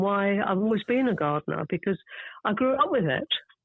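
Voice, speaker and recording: A woman talks at a fairly quick pace with a southern English accent and medium pitch. Her intonation is lively. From southern England (suburban London). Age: 70s. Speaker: garden writer. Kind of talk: interview.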